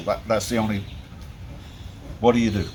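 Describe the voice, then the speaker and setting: A man is speaking amid noticeable background noise. There is audible echo from the room. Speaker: boat mechanic. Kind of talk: casual workshop walkthrough. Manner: loud; halting.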